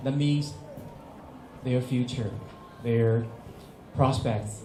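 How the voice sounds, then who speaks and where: Spoken with a Chinese accent and ordinary pitch variation, the voice carries audible room echo. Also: man. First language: Mandarin Chinese. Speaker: English teacher. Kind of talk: workshop presentation. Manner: halting, frequent fillers.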